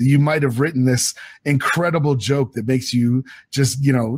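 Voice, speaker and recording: This man's voice is somewhat breathy, medium in pitch, and moves at a moderate pace. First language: French. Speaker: novelist. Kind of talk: interview.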